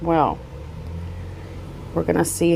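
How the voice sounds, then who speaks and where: A woman talks with vocal fry. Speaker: true crime news commentator. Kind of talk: unscripted news commentary. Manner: slightly stuttering, off the cuff.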